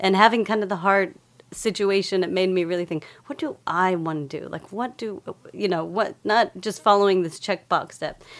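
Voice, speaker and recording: A woman speaks at a medium pitch with ordinary pitch variation. She has a normal speaking voice and keeps a moderate pace. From Texas, Lubbock. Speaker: researcher and former dancer. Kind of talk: casual chat.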